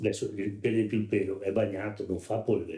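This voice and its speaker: A man's somewhat breathy voice, fairly low and dark, mellow in tone, at a very fast pace. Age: 70s. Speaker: wooden mould maker, craftsman. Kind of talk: interview. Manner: halting, with false starts.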